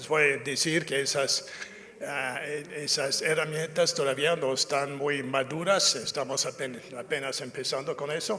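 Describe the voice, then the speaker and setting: A man with an English accent speaks at a fairly high pitch and fairly slow pace over noticeable background noise. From North America (US). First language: English (speaking Spanish). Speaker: safety culture consultant. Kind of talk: lecture. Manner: halting, many fillers and self-corrections.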